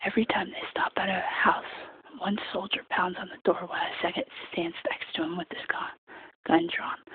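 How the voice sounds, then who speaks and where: Someone whispering at a moderate pace. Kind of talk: soft-spoken audiobook-style reading for sleep. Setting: casual late-night bedroom-style recording. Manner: soft-spoken, quiet whisper.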